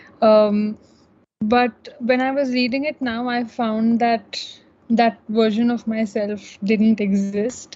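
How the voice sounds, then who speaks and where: Her fairly high voice is somewhat breathy and flat, monotone in intonation. The woman speaks at a very slow pace. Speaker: student panelist. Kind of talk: panel discussion. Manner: halting.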